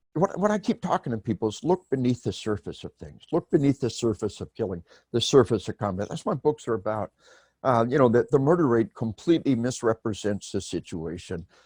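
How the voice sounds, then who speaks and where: A man with an American accent speaks at a fairly quick pace in a medium pitch, his voice swinging very widely up and down, on a very clean recording with a silent background. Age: 60s. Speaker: author and retired army officer. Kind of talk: podcast interview. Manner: animated.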